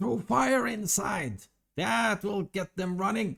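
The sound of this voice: A man's put-on character voice, high in pitch and fairly slow.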